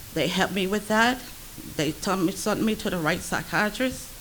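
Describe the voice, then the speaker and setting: Ordinary pitch variation at a moderate pace, with noticeable background noise behind it. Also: woman. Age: 70s. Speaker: grandparent advocate. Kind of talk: public testimony. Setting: public meeting in a library.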